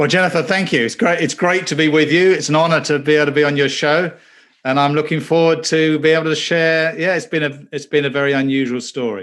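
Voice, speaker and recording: A very fast pace in an English accent, with ordinary pitch variation over a quiet background. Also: man, fairly high pitch for a man. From southern England. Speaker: former banker and pastor. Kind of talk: interview testimony.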